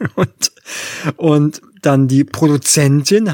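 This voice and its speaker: With a normal speaking voice, a man talks at a fairly high pitch with ordinary pitch variation, recorded dry and close with no echo. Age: 40s. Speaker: film podcast co-host. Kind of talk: casual chat.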